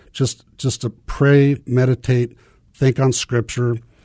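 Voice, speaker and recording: In a Midwestern American accent, a man speaks at a medium pitch with a dark, mellow tone against a quiet background. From US Midwest, small-town Nebraska. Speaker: missionary. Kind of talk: testimony. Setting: studio.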